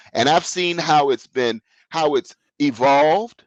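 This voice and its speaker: With an American accent, a normal speaking voice moves at a fairly slow pace in a dry, close sound with no echo. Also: man. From US South. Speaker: business consultant. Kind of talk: interview.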